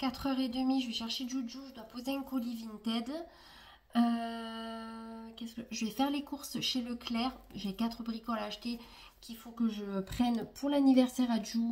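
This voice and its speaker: A soft-spoken woman with a fairly high voice talks at a moderate pace in a monotone, flat intonation. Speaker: vlogger. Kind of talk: casual vlog talk to camera. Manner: trying to speak louder than usual.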